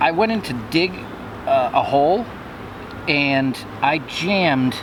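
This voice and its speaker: A man with a fairly high-pitched voice talks while noticeable background noise carries on behind him. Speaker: metal detecting vlogger. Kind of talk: casual vlog narration. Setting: outdoors.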